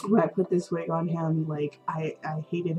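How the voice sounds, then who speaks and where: Music plays in the background while a woman speaks. Her voice is fairly low in pitch, with monotone, flat intonation. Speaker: doll hobbyist. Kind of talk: casual talk to camera.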